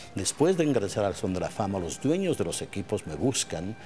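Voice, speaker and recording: Clear music sits in the background as a man talks. His voice is fairly low and his pace fairly quick. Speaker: baseball play-by-play announcer. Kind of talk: interview answer. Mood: reflective, emotional at times. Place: stadium. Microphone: lapel.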